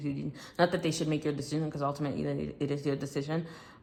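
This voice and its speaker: A woman speaks very fast with a very deep, low pitch and vocal fry. Her intonation stays fairly even. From Ivory Coast. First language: French. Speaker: tarot reader. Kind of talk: tarot reading.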